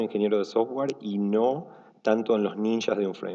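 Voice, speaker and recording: A man speaks at a moderate pace. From Argentina. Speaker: software engineer, conference speaker. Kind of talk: conference talk. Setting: stage with audience. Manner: relaxed, casual with many fillers.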